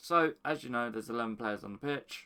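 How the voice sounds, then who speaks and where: The voice is quiet. Its tone is bright and sharp. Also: man. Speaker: FIFA gaming YouTuber. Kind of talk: casual explanation to camera. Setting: at home early morning, others asleep. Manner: quiet, hushed.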